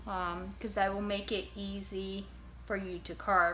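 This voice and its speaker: There is audible room echo. A woman talks at a very slow pace. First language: Japanese. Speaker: ceramics teacher. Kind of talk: tutorial. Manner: casual, hesitant with fillers.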